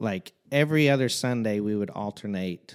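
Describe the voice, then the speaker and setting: With a Midwestern American accent, a man speaks at a fairly low pitch with lively intonation. The sound is dry and close with no echo, on a very clean recording with a silent background. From Southern Illinois, Fairfield. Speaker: worship leader. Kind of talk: casual chat.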